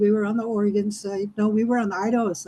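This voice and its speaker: Somewhat breathy and fairly high in pitch, a woman talks at a fairly quick pace with a dark, mellow tone. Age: 60s. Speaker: club member giving a speech. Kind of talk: prepared speech. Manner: animated.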